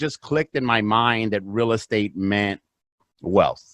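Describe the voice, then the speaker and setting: Recorded with a dry, close sound and no echo, a man speaks in a Spanish accent. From US, south Los Angeles, then Phoenix from 14. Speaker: real estate investor. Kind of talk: podcast interview.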